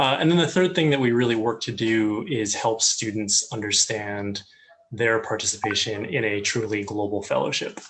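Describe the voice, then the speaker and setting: A man at medium pitch with an American accent, moderate pace, and noticeable background noise. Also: ordinary pitch variation. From US. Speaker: communications head of student ministry. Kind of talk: interview. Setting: online live call.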